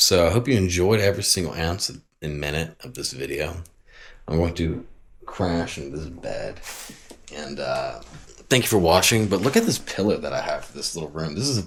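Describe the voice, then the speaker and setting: With an American accent, a man with a very deep, low pitch talks at a moderate pace, his intonation lively and his voice somewhat breathy, leaving long, frequent pauses. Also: big swings in loudness. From Texas. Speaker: travel vlogger. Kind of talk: casual travel vlog. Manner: animated.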